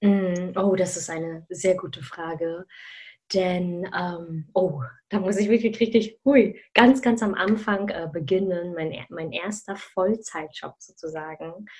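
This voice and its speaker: A woman's somewhat breathy voice moves at a very slow pace with big swings in loudness. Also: medium pitch for a woman, ordinary pitch variation. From Germany, of Malaysian family. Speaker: career mentor. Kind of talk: interview. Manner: animated, many fillers.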